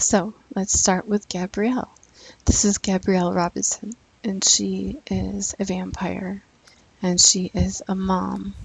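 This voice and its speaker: The voice is quiet and moves at a very slow pace. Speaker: gaming YouTuber. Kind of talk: let's play commentary. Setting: at home, son asleep. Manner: quiet, low volume.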